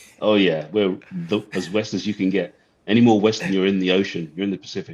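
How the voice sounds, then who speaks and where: With a British accent, a man talks at a very fast pace, his fairly low voice keeping a fairly even intonation. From England. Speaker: branch manager, watch collector. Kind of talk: casual chat.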